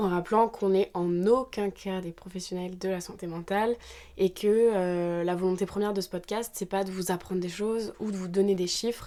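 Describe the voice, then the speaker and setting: A woman's dark, mellow tone at a moderate pace, in a flat monotone. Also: medium pitch for a woman. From Normandy, France. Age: 20s. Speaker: podcast co-host. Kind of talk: casual chat.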